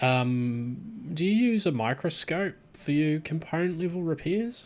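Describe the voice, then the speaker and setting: This man speaks in a Southland New Zealand accent with lively intonation. His pace is fairly slow. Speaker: tech streamer. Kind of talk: live stream chat. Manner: casual, hesitant with fillers.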